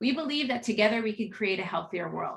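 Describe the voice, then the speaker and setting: Her pitch sits in the medium range for a woman, with ordinary pitch variation. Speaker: marketing executive. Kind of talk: business presentation. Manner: fast.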